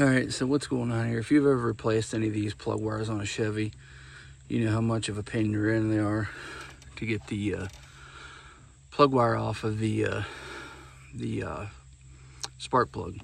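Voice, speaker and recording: Soft-spoken and fairly low-pitched, a man talks at a moderate pace with ordinary pitch variation and long, frequent pauses. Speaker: farmer and DIY mechanic vlogger. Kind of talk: tutorial. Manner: soft-spoken, talking low.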